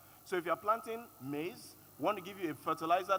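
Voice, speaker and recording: With a Yoruba accent, a man talks at a fairly quick pace with ordinary pitch variation. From Nigeria, Yoruba. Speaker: panelist, agritech expert. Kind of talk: panel discussion.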